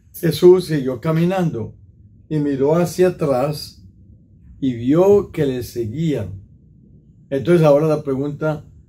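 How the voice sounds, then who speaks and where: Somewhat breathy and dark, mellow in tone, a man speaks very slowly with ordinary pitch variation and long, frequent pauses. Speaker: priest. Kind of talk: sermon reflection. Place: home room.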